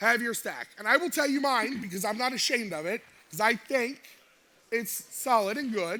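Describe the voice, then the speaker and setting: At an extremely high pitch, a man projects a raised, bright, sharp voice with an animated tone, ordinary pitch variation and a moderate pace. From United States. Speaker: cybersecurity expert. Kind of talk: conference talk, conversational. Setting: stage with audience.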